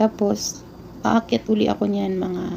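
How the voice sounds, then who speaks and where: A woman is speaking against noticeable background noise. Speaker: overseas domestic worker vlogger. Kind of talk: casual vlog.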